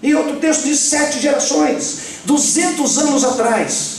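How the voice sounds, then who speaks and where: An animated tone at a fairly slow pace, with noticeable background noise and audible room echo. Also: man. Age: 60s. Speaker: pastor. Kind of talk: sermon. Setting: church.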